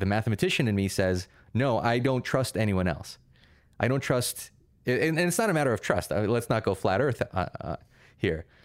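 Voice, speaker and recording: A man with a Russian accent at a moderate pace, lively in intonation, on a very clean recording with a silent background. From Russia, moved to US at eight. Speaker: pure mathematician. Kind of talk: interview conversation.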